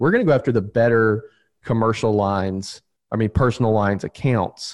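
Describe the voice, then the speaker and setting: A man with a medium pitch talks at a fairly quick pace over a quiet background. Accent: Southern US. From US South, Alabama. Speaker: insurance agency owner. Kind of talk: interview.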